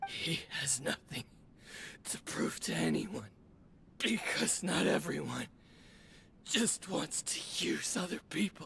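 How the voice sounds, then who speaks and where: Whispering in a raspy, put-on character voice, the speaker goes at a fairly slow pace with long, frequent pauses over clear background noise. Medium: video game.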